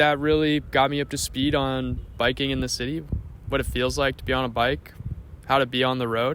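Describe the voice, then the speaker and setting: An ordinary speaking voice, this man's medium-pitched delivery moves at a fairly quick pace with fairly even intonation. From Canada, small-town Ontario. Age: 20s. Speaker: vlogger. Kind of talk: casual vlog narration.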